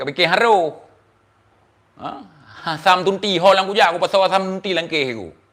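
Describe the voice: A fairly bright tone at a moderate pace, with ordinary pitch variation. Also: man.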